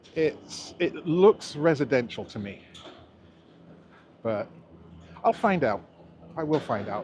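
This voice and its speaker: With an American accent and a fairly high pitch, a man speaks at a very slow pace with long, frequent pauses. His pitch swings very widely and his loudness varies greatly. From England, Oxford area. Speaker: YouTuber, city walk vlogger. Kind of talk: live stream walking tour. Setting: outdoors, walking on elevated park. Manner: casual, meandering.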